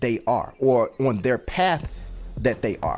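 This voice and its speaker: With music in the background, a man talks at a moderate pace. He has a medium pitch and an American accent. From Washington DC. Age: 40s. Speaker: rapper and show host. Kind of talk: live-stream podcast monologue. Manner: casual, conversational.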